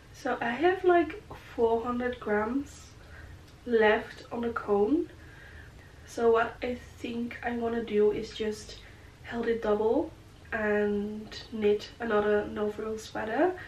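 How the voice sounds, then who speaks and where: Over noticeable background noise and audible room echo, a woman talks at a very slow pace with long, frequent pauses. Her pitch is fairly high and varies in an ordinary way. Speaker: knitting vlogger. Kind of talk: casual chat. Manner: relaxed, chatty with many fillers.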